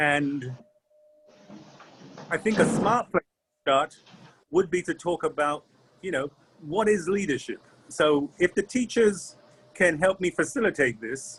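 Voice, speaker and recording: With a dry, close sound and no echo, a high-pitched man talks at a moderate pace with ordinary pitch variation. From Trinidad and London. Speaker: leadership trainer. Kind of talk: online workshop talk. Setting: video call from a restaurant.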